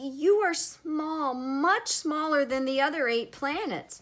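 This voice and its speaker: A woman puts on a shaky, high-pitched character voice with lively intonation at a fairly slow pace. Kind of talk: reading a picture book aloud. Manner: shaky, nervous.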